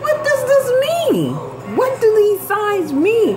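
A woman's extremely high voice at a very slow pace, faint music in the background. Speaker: vlogger. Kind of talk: casual vlog chat. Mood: puzzled, amused. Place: kitchen. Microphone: phone near.

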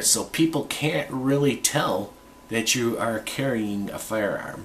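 Noticeable background noise behind an American accent. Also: man. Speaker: gun reviewer vlogger. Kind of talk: unscripted product review video. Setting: home, alone, close to camera. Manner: halting, filler-heavy.

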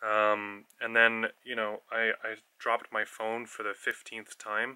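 A man speaks at a fairly slow pace in a bright, sharp tone against a quiet background. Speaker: travel vlogger. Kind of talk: casual vlog chat. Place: home room. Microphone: earbuds.

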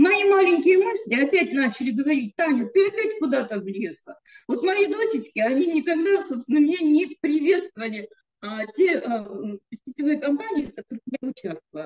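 With very wide pitch swings, the speaker goes at a moderate pace against a quiet background. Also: woman, high pitch for a woman. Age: 60s. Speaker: network marketing participant. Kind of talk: testimony. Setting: video call. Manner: halting. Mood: emotional, uplifted. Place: home room. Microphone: video call.

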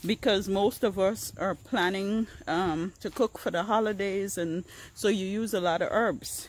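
A very slow pace in a dry sound with no echo. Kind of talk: casual vlog chat. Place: garden. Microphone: phone near.

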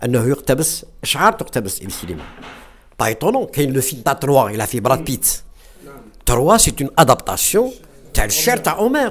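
Over light background noise, a man with a fairly high pitch talks at a very fast pace, with very wide pitch swings and long, frequent pauses. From western Algeria. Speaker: retired English teacher, film club founder; guest. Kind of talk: discussion talk. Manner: halting, many hesitations.

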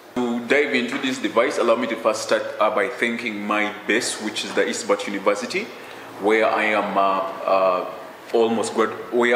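A man's voice comes through with audible room echo. Light background noise is present. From Uganda. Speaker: student inventor. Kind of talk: interview. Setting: university campus. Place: office. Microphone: handheld.

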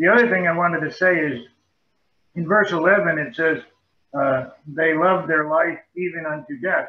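Amid audible room echo, a man with a high pitch talks at a moderate pace with ordinary pitch variation and long, frequent pauses. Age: 70s. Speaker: Bible study participant. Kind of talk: group discussion. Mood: calm, reflective. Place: home room. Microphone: video call.

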